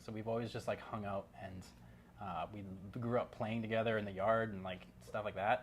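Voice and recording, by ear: With fairly even intonation, a man talks at a fairly low pitch.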